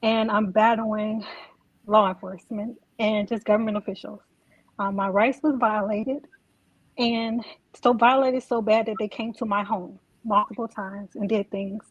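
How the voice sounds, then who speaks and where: A woman speaks quietly at a moderate pace in a fairly high, somewhat breathy voice with monotone, flat intonation, long, frequent pauses and a dry, close sound with no echo. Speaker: caller. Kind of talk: call-in testimony. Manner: quiet, hard to hear; halting, hesitant. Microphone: too quiet.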